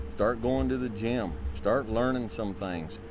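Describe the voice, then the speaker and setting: With music in the background and audible room echo, a man at a fairly low pitch speaks at a moderate pace with very wide pitch swings. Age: 50s. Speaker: life advice speaker. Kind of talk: advice talk to men.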